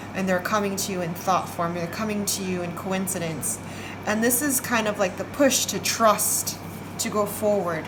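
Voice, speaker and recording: Through audible room echo and noticeable background noise, the voice keeps a moderate pace and ordinary pitch variation. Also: woman. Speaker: tarot card reader. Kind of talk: psychic reading.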